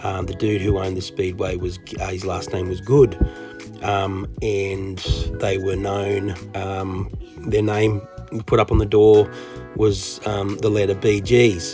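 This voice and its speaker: Over clear background music, a man with a fairly low voice speaks very slowly, with fairly even intonation and long, frequent pauses. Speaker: toy collecting vlogger. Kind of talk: casual vlog chat. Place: street. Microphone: phone near.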